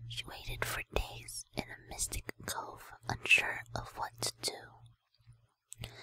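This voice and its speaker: A woman whispers at a very slow pace, with big swings in loudness. The sound is dry and close, with no echo. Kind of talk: ASMR lore reading. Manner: whispered.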